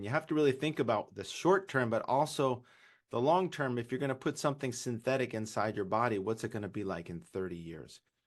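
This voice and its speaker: A man with a Californian accent, lively intonation, medium pitch and a fairly quick pace. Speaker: urologist. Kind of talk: webinar presentation.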